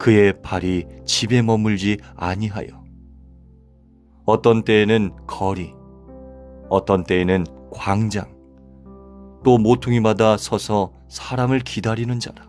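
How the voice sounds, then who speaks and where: Music plays behind a man speaking at a very slow pace with long, frequent pauses. His pitch is fairly low, with ordinary variation. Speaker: pastor and voice actor. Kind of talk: scripture reading.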